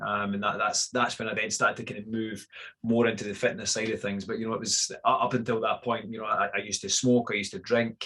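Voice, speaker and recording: In a Scottish accent, a man talks at a very fast pace and a medium pitch. His intonation is monotone and flat. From Scotland, Fife. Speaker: fitness coach. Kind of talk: podcast interview. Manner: hesitant, many fillers.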